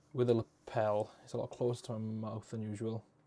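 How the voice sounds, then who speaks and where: Medium in pitch with a dark, mellow tone, a man speaks at a moderate pace. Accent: Welsh. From Wales. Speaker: YouTuber. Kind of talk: live stream chat. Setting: live stream. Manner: casual. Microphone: lapel mic close to mouth.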